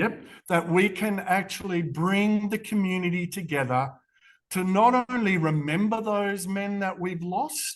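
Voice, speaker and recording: In an Australian accent, a man talks at a fairly slow pace with a high pitch. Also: ordinary pitch variation. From Western Australia. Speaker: charity CEO. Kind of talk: interview.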